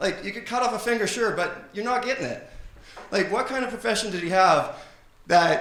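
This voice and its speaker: With a Canadian accent, a man speaks at a fairly quick pace with ordinary pitch variation, amid noticeable background noise and audible room echo. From Canada. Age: 30s. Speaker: stand-up comedian. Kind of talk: stand-up. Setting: stage with audience.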